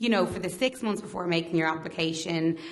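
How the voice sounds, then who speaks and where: A woman talks with an Irish accent at a medium pitch. Audible echo fills the room. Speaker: mortgage advisor. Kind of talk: presentation to audience. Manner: halting, stuttering.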